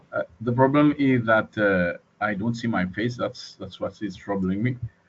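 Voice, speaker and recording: A man with a non-native accent talks at a moderate pace and medium pitch with ordinary pitch variation. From Mauritius. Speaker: student. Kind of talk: online class introduction. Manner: halting.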